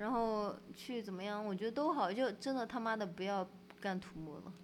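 A woman's unremarkable speaking voice at a fairly quick pace with ordinary pitch variation. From Sichuan, Pixian near Chengdu. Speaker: bridge designer and photographer, gallery co-owner. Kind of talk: casual chat. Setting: in the guest's gallery space.

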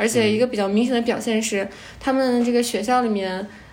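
With noticeable background noise behind her, a woman speaks in a fairly high voice with fairly even intonation. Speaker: volunteer teacher. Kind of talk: casual chat.

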